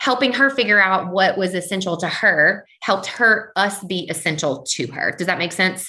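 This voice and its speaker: A woman speaks at a medium pitch. Her tone is bright and sharp. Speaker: podcast guest, chamber of commerce professional. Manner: fast talker, excitable; fast talker.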